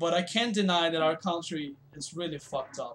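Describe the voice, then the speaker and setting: A man with a high-pitched voice speaks in a Brazilian Portuguese accent. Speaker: video game streamer. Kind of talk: casual live-stream chat. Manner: hesitant, many fillers.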